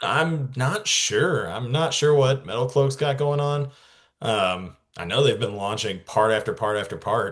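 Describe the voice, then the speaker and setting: A man's somewhat breathy, medium-pitched voice at a fairly slow pace, with lively intonation over a quiet background. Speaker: off-road enthusiast. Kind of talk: casual chat. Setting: podcast. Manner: talkative.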